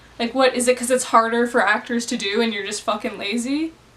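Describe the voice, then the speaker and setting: A woman with a Canadian accent, high-pitched and animated in tone, at a fairly quick pace over noticeable background noise. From Canada. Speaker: movie reviewer. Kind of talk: angry movie review rant. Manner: animated, exasperated.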